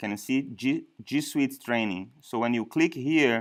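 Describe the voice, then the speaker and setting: On a very clean recording with a silent background, a man of medium pitch talks at a fairly slow pace in a strong non-native accent. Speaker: software trainer. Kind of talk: training session. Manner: halting.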